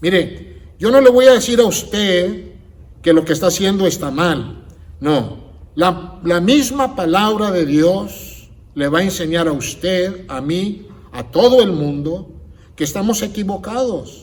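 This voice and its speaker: A man talks at a very slow pace in a high voice with lively intonation. Audible room echo can be heard. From United States. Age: 60s. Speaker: pastor. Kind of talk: sermon.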